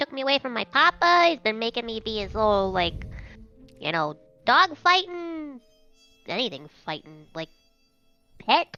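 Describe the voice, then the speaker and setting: A woman's put-on character voice, fairly high with very wide pitch swings, at a moderate pace with long, frequent pauses and faint music in the background. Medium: actual play. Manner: brash, excitable.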